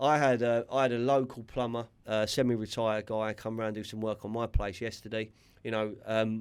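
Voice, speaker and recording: A man with a West London accent speaks in a flat monotone, recorded very cleanly against a silent background. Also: medium pitch for a man, moderate pace. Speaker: podcast host. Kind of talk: casual chat. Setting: studio. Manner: halting, repeats words.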